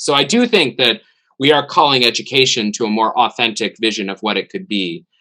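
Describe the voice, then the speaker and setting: A bright, sharp tone in an American accent, at a fairly quick pace. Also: man. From United States. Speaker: theology professor. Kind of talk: webinar discussion. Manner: halting.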